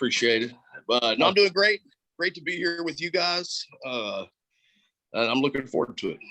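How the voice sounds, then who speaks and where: A high-pitched man speaks with long, frequent pauses. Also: lively intonation, moderate pace. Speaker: wrestling ring announcer. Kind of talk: casual podcast interview answer.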